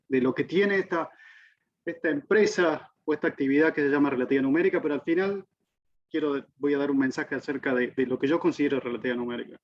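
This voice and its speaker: Talking at a very fast pace in an Argentine accent, a man uses a fairly high voice with ordinary pitch variation. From Argentina. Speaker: physics professor. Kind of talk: lecture. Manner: halting.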